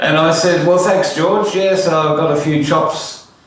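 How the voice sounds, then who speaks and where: Noticeable background noise and audible room echo around a man's moderate-paced speech. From Australia (Orange, NSW), born in Netherlands. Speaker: musician and piano tuner. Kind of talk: autobiographical storytelling. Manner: casual, hesitant with many fillers.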